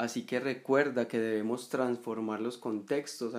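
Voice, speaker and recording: This is a man with a plain, everyday voice at medium pitch. He speaks at a fairly slow pace. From Colombia, Medellín. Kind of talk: reflective monologue.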